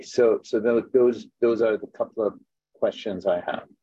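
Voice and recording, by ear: A man's fairly low voice, dark and mellow in tone with a slightly husky edge and fairly even intonation. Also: moderate pace.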